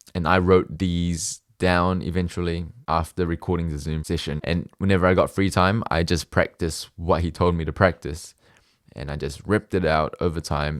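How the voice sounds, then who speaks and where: Fairly even intonation at a moderate pace. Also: man, very deep, low pitch for a man, very clean recording, silent background. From Singapore and New Zealand. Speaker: medical student. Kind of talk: casual talk to camera. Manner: clear.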